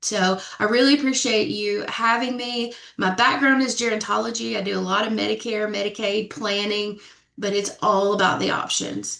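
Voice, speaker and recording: A woman with a fairly high pitch speaks with a slight Southern US accent. Her pace is moderate and her intonation fairly even. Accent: slight Southern twang. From Middle Tennessee, Sumner County. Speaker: death doula and funeral professional. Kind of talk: panel discussion.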